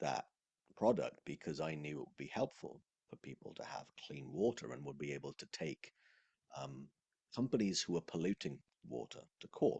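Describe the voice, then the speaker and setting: A man at a moderate pace, with vocal fry, a dark, mellow tone and very wide pitch swings, in a dry, close sound with no echo. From Wales. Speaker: sales coach. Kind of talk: casual conversation.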